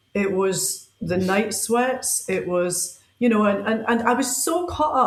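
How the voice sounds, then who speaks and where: The intonation is lively, and the room echo is audible. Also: woman. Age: 50s. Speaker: powerlifter and strength coach. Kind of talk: casual chat.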